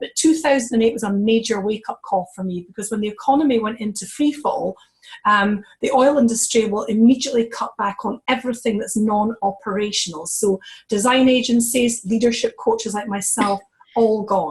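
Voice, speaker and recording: Somewhat breathy, a woman with a Scottish accent talks at a fairly quick pace. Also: fairly high pitch for a woman, ordinary pitch variation. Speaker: network marketing executive, former leadership coach. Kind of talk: testimony on a conference call.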